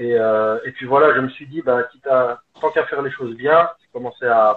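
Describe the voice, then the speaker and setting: A man talks at a medium pitch for a man. His pitch varies in an ordinary way. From Belgium, Liège. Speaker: football coach. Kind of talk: casual interview. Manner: hesitant, many fillers.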